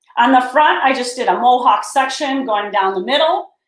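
A woman talks at a moderate pace with ordinary pitch variation. The background is quiet, though room echo can be heard. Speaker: hair stylist educator. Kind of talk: tutorial. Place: studio.

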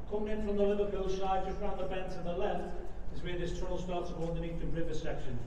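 Against noticeable background noise and audible room echo, a man with a high pitch speaks monotonously and flatly at a fairly quick pace. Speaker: tunnel tour guide. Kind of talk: guided tour explanation. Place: tunnel cave. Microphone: camera far.

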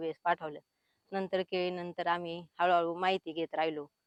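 Against a quiet background, a woman speaks in a fairly low pitch with monotone, flat intonation and a dry, close sound with no echo. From Maharashtra, Pune district. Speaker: farmer. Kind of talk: testimony.

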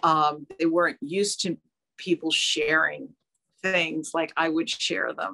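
A woman with an American accent, fairly low-pitched, with lively intonation, a bright, sharp tone and a fairly slow pace. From New Jersey. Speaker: fashion designer and artist; guest. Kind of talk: interview. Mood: warm, reflective. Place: home room. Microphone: video call.

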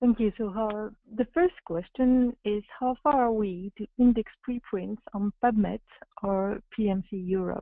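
Very slow delivery with ordinary pitch variation. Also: woman, quiet background, dry sound with no echo. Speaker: webinar moderator. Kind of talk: webinar moderation. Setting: video call. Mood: hesitant, friendly. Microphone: video call.

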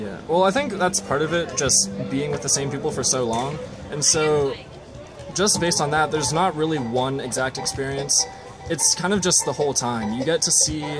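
Music is clearly audible behind a man who talks at a moderate speed. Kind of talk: interview answer. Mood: relaxed, friendly. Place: stadium. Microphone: phone near.

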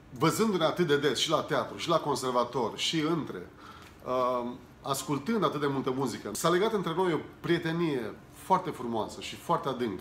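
Against light background noise and audible room echo, a man speaks at a moderate pace. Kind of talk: interview answer, personal memories. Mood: warm, nostalgic. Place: home room.

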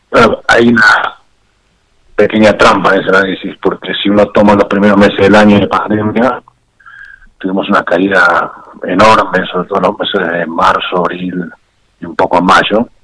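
A man speaks at a moderate pace in a fairly low pitch, his intonation monotone and flat. Long pauses come often. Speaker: former security official. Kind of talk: phone interview.

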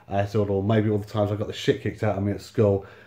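Very fast and flat in intonation, a man speaks at a fairly low pitch with a dark, mellow, somewhat breathy tone. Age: 30s. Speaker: YouTuber and homeless-sector housing worker. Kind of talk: casual storytelling monologue. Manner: halting, many fillers. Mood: wry, exasperated storytelling. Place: home room. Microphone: phone near.

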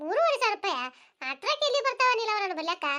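A woman in a squeaky, put-on character voice speaks at an extremely high pitch and a fairly quick pace, her pitch swinging very widely. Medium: cartoon. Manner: warm, practical.

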